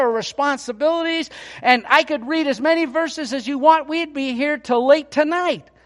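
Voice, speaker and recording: A loud man with an extremely high pitch talks at a fairly quick pace with ordinary pitch variation. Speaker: pastor. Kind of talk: sermon. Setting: church.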